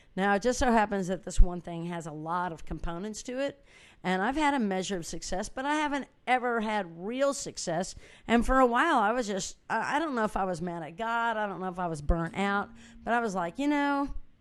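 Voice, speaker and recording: In a normal speaking voice, the speaker goes at a fairly quick pace with lively intonation and big swings in loudness against a quiet background. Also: woman, medium pitch for a woman. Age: 60s. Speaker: musician and inspirational speaker. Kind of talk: motivational talk. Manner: casual and conversational.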